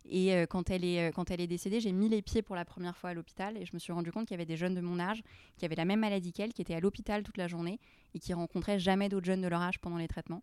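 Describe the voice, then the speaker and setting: Very fast, monotone speech from a woman at medium pitch, flat in intonation, dry and close with no echo, on a very clean recording with a silent background. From Lebanon, then US, raised in France. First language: Arabic (speaking French). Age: 20s. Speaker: charity founder. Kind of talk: interview. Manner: hesitant, many repetitions.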